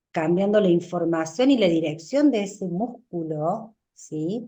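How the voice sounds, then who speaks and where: Her dark, mellow voice sits at a medium pitch for a woman, moving with lively intonation at a very slow pace. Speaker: orthodontist lecturer. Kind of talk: lecture. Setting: webinar.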